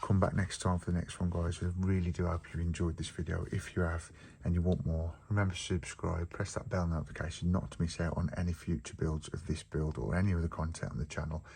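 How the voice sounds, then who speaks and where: A man with an English accent talks at a very fast pace with hardly any pauses. His very deep, low voice is somewhat breathy, with a dark, mellow tone and fairly even intonation. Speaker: model building youtuber. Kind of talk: tutorial. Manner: casual.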